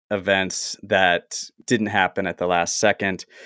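In a very clean recording with a silent background and a dry, close sound with no echo, a man with an American accent speaks at a very slow pace in a bright, sharp tone with monotone, flat intonation. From US South. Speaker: actor and writer. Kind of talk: casual chat.

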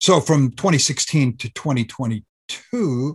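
The man's voice is somewhat breathy. Behind him the background is quiet. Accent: American. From US, Southern California. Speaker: historian. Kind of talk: interview. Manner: halting.

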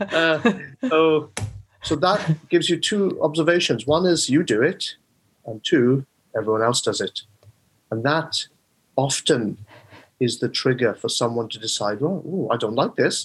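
Somewhat breathy and with a South Wales accent, a man with a fairly high pitch speaks at a fairly slow pace, pausing long and often. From South Wales, the Rhondda. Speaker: mind coach. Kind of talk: interview.

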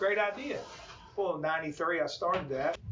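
Amid audible room echo and noticeable background noise, a man with an American accent speaks with ordinary pitch variation. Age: 50s. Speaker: high school basketball coach. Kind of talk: interview. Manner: halting.

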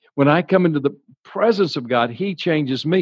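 In a Louisiana accent, a man talks at a fairly slow pace and fairly high pitch against a quiet background. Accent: Southern US (Louisiana). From US South, Baton Rouge, Louisiana. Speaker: evangelist. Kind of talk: sermon.

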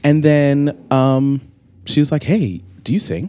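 This man talks at a fairly slow pace with an American accent. His pitch sits in the medium range. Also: very clean recording, silent background. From Long Island, New York. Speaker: singer. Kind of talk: casual chat. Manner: animated.

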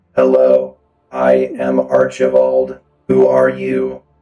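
A put-on character voice, very slow and monotone with flat intonation, over faint music in the background. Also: man, very deep, low pitch for a man. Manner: greeting, curious.

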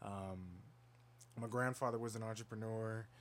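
With audible room echo, a man speaks at a fairly low pitch. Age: young. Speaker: podcast co-host and entrepreneur. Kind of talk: casual chat.

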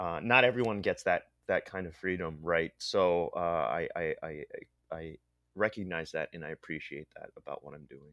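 Speaking with a Pennsylvania accent at a moderate pace, a man shows big swings in loudness. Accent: American (Pennsylvania). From central Pennsylvania (State College), immigrated from the Philippines as a child. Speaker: illustrator and comic artist. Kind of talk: interview. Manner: halting, with repeated words and fillers.

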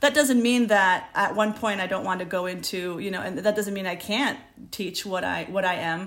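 At a moderate pace, a woman speaks in medium pitch with ordinary pitch variation, and room echo is audible. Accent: American. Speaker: literature professor. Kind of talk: academic interview. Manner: hesitant, many fillers and restarts.

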